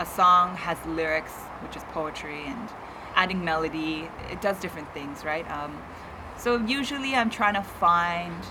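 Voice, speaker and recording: Noticeable background noise is present throughout. A woman's pitch variation is ordinary. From Kitchener-Waterloo, Ontario, Canada. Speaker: spoken word poet and singer-songwriter. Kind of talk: interview answer. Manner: casual, conversational.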